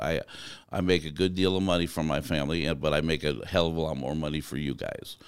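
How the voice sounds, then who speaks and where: A man's very deep, low voice with vocal fry, very fast and animated, with an American accent. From US Southwest (Arizona). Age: 50s. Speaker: truck driver and driver trainer. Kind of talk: interview conversation. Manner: animated storyteller.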